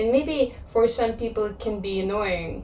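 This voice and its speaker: Room echo can be heard clearly. The woman's delivery is fairly slow. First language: Russian or Kazakh. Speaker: vlogger. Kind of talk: personal vlog monologue. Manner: reflective, with pauses.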